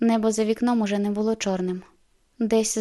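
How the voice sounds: The voice reads aloud naturally. Its intonation stays fairly even.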